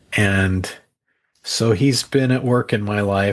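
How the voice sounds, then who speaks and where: A man's fairly low voice at a very slow pace, with fairly even intonation. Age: 60s. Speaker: author. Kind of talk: interview.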